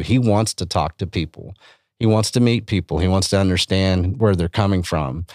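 A man with a West Texas accent, very deep and low in pitch, at a fairly quick pace with ordinary pitch variation, in a dry, close sound with no echo and a very clean recording over a silent background. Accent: West Texan. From Texas Panhandle. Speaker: beef industry advocate. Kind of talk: casual chat. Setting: studio. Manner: animated.

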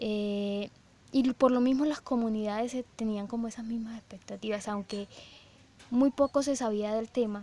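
Her tone dark and mellow, a woman with a fairly high pitch speaks at a moderate pace with fairly even intonation and long, frequent pauses. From Colombia, Cesar department. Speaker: university researcher. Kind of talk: research interview. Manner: hesitant, many fillers.

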